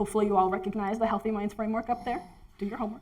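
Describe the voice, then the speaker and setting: A woman talks while noticeable background noise carries on in the clip. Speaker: research scientist. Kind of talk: presentation talk. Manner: fast.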